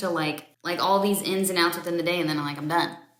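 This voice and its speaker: A woman with an American accent, amid audible room echo and noticeable background noise. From Florida. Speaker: interviewer, trader. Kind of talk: casual interview chat.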